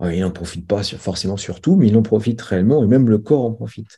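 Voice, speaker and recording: The voice has a dark, mellow tone and is somewhat breathy, moving at a moderate pace against a quiet background. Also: man. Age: 40s. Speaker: strength and conditioning coach. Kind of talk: interview.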